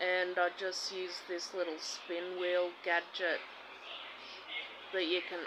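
A woman's bright, sharp tone at a fairly low pitch, against noticeable background noise. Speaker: vlogger. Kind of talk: casual vlog chat. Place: home room. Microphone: phone near.

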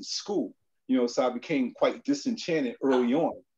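With a New York accent, a man talks at a moderate pace. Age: 60s. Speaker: documentary photographer. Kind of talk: panel discussion presenting his photographs. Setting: video call.

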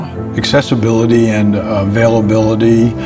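A man speaks while music plays clearly in the background. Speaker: bank president. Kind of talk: TV commercial testimonial. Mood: calm, sincere. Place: office. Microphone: lapel.

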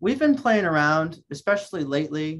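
Moderate pace from a male speaker. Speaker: guest. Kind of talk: interview answer. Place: home room. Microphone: video call.

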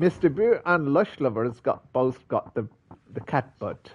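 In an English accent, the voice sounds somewhat breathy and moves through very wide pitch swings. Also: man. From England. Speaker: gaming streamer. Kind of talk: live gameplay commentary. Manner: casual, chatty.

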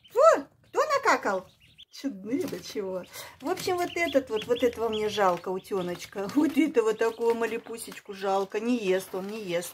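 A woman with a fairly high pitch talks at a moderate pace with lively intonation over light background noise. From Kyrgyzstan. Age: 60s. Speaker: village pensioner vlogger. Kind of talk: casual vlog talk while feeding ducklings. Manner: warm, cooing to animals. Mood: warm, affectionate. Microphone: phone near.

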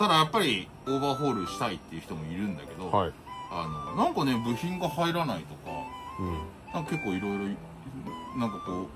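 A man talks at a very fast pace while music plays clearly in the background. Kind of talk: casual vlog chat. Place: workshop. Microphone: camera far.

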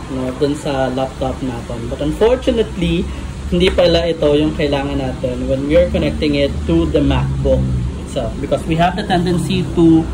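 Noticeable background noise is present. The talking runs at a fairly quick pace. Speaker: tech tutorial maker. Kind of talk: tutorial. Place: home room. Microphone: phone near.

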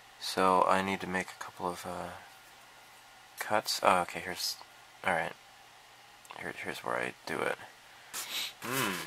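Very deep and low, a man's voice comes through noticeable background noise. He speaks with long, frequent pauses. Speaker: hobbyist video maker. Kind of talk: casual build tutorial. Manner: halting, many filler words.

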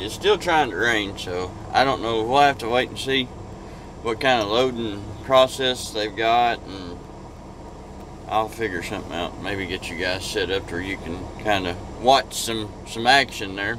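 The speech has a moderate pace, ordinary pitch variation and long, frequent pauses. The sound is dry with no echo, though noticeable background noise is present. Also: man. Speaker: truck driver vlogger. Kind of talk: casual vlog chat. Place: car. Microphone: phone near.

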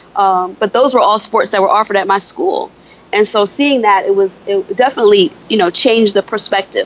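A woman with an American accent, fairly quick in pace, with ordinary pitch variation. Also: fairly high pitch for a woman. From upstate New York (Buffalo). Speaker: beauty consultant and author. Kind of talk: interview podcast. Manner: halting, many fillers.

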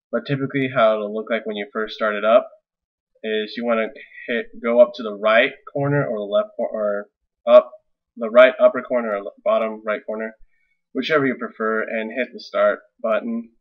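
A man speaks at a moderate pace with big swings in loudness and long, frequent pauses against a quiet background. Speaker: tech reviewer. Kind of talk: casual screen-recording tutorial. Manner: hesitant, many fillers. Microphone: webcam.

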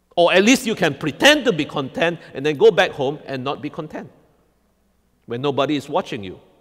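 At a fairly quick pace, a man with a fairly high voice swings his pitch very widely over a quiet background. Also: big swings in loudness. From Singapore. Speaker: pastor; preacher. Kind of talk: sermon. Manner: repetitive filler 'all right?'.

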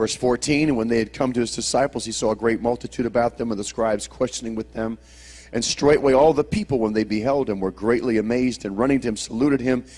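A man's very fast pace with fairly even intonation. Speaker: preacher. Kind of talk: sermon. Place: church. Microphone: handheld.

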